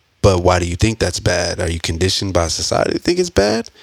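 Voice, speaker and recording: A man speaks with a very deep, low pitch. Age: 30s. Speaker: podcast co-host. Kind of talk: casual chat.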